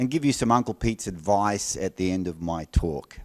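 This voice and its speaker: The recording is very clean, with a silent background. A man with an Australian accent speaks at a fairly low pitch and a fairly quick pace. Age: old. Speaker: agile speaker. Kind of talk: conference talk intro.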